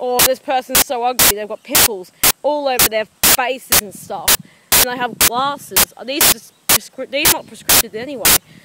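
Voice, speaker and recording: Noticeable background noise sits behind a woman speaking at a moderate pace in a high voice. Her pitch varies in an ordinary way, while her loudness swings widely. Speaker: vlogger. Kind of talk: angry rant. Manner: impassioned, indignant; emphatic, repetitive.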